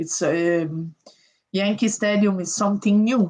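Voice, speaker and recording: A woman with an Italian accent talks at a very slow pace. Her medium-pitched voice is somewhat breathy. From Italy. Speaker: professional boxer. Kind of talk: interview.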